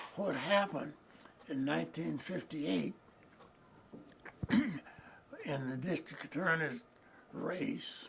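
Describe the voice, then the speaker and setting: There is noticeable background noise. A man talks at a very slow pace. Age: 80s+. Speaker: civil rights lawyer. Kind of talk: oral history interview answer.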